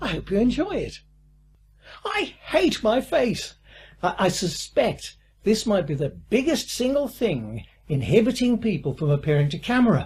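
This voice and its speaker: With a British accent, a man with a high voice speaks at a fairly slow pace, his pitch swinging very widely. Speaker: online course instructor. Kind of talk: online course lecture.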